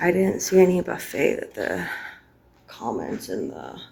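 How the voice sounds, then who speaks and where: At a fairly slow pace, a woman speaks amid audible room echo and noticeable background noise. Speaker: vlogger. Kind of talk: vlog narration. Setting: hotel.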